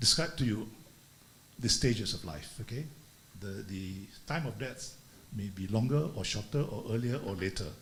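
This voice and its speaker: A man's lively intonation carries through audible echo from the room. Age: 70s. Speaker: retired business executive, speaker. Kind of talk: talk at a leadership conference. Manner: halting, many fillers.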